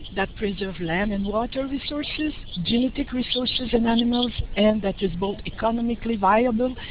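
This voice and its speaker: Recorded with audible room echo and noticeable background noise, a woman in a Quebec accent speaks with ordinary pitch variation. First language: French. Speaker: professor, researcher. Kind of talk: lecture. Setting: online webinar. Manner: halting.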